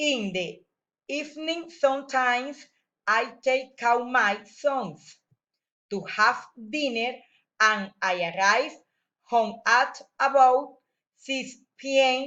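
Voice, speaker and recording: A woman speaks in a high voice with a Spanish accent. Her pace is very slow, with long, frequent pauses. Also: ordinary pitch variation. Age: 40s. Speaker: teacher. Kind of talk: reading aloud. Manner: halting.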